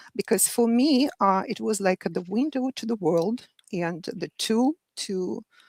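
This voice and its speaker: A woman speaks fairly slowly with a Russian accent, at a medium pitch with ordinary pitch variation. The sound is dry and close, with no echo. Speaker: medical interpreter. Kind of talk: panel discussion. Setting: live online show.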